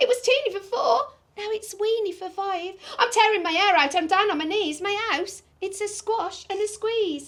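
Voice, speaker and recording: A woman uses a put-on character voice at an extremely high pitch, talking at a moderate pace. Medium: read story. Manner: fussy, grumbling.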